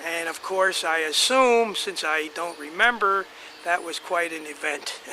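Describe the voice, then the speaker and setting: A man with an American accent, high in pitch with ordinary pitch variation, at a fairly slow pace against noticeable background noise. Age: 80s+. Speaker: family elder telling family history. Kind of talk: oral history reminiscence. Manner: halting, many fillers and restarts.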